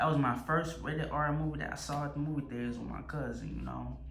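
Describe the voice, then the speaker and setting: Talking at a fairly quick pace, a man with an American accent is heard with audible room echo and music in the background. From US South, Louisiana. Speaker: movie reviewer and vlogger. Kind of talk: casual monologue review. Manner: stuttering, repetitive; animated.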